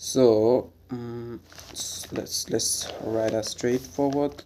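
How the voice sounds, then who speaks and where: A man with a Bengali accent speaks at a very slow pace and medium pitch. His pitch varies an ordinary amount, and background noise is noticeable. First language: Bangla. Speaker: English grammar teacher. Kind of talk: tutorial. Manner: halting, many fillers; casual.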